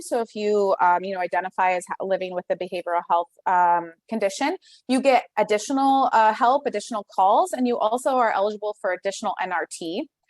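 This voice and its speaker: Lively, fairly high-pitched speech from a woman at a fairly quick pace, dry and close with no echo. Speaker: public health program presenter. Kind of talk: conference presentation. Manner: fast.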